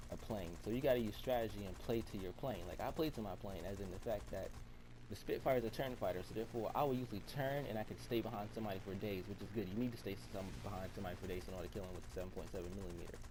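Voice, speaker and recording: This man talks very fast with a dark, mellow tone and fairly low pitch. His intonation is lively, with vocal fry. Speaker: gaming commentator. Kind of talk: gameplay tutorial commentary. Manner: casual.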